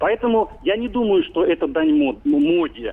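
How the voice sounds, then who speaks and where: A man speaks at a fairly slow pace. His pitch makes very wide swings. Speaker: magazine editor. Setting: phone call.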